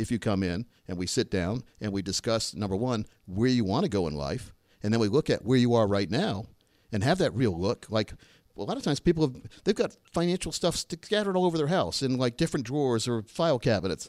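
A man talks at a fairly quick pace in a medium pitch with very wide pitch swings, the sound dry and close with no echo. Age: 50s. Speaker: financial advisor and radio co-host. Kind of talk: casual radio talk show chat. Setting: radio studio.

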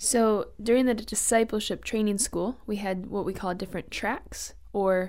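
With an ordinary speaking voice, a woman talks at a fairly slow pace and ordinary pitch variation. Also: very clean recording, silent background. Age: 20s. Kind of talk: radio interview.

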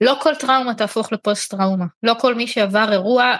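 A woman with an ordinary speaking voice talks at a fairly quick pace and fairly high pitch, with ordinary pitch variation. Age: 30s. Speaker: podcast host and interviewer. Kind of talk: interview. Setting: online audio room.

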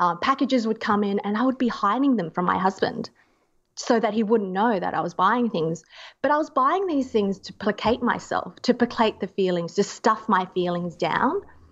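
A woman with an Australian accent, fairly high-pitched, lively in intonation, at a moderate pace against a quiet background. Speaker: zero waste activist and medical student. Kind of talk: interview conversation.

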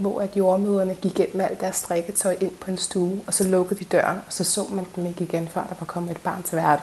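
A woman at medium pitch with monotone, flat intonation. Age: 30s. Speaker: midwife. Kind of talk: interview testimony.

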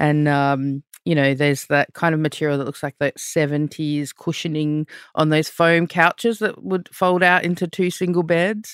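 With an Australian accent, a woman talks at a fairly slow pace in a very deep, low pitch, with ordinary pitch variation and hardly any pauses, in a dry, close sound with no echo on a very clean recording with a silent background. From Australia, with Fijian heritage. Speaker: visual artist. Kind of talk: interview. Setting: studio.

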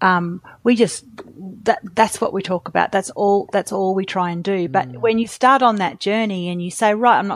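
A woman speaks at a medium pitch with an Australian accent and ordinary pitch variation. The recording is very clean with a silent background, and the sound is dry and close with no echo. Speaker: company founder. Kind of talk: interview.

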